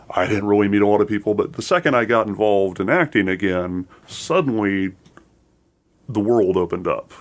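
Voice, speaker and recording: A man talks at a fairly quick pace in a fairly low pitch with ordinary pitch variation. His loudness stays very even. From Seattle. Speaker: actor. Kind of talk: radio interview.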